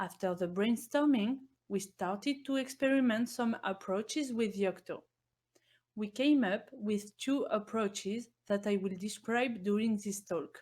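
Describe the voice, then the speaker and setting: This woman's somewhat breathy voice sits at a fairly high pitch, with ordinary pitch variation and a fairly slow pace. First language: not English. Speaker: software engineer. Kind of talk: conference presentation.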